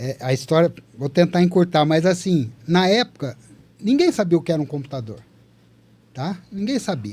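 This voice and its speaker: A man speaks in a high voice with very wide swings in pitch. His pace is moderate, broken by long, frequent pauses. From Brazil, Taubaté, São Paulo interior. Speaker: veteran software developer. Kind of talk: casual podcast storytelling.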